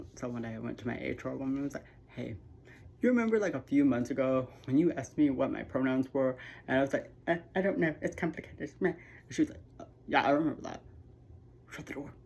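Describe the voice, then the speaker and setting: A woman speaks at a very fast pace in a very deep, low voice with vocal fry, lively intonation, and long, frequent pauses. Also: big swings in loudness. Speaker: YouTuber sharing personal story. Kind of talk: personal testimony vlog. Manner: halting, many fillers.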